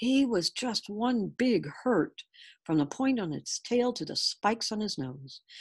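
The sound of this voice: An unforced reading voice, lively intonation and a quiet background.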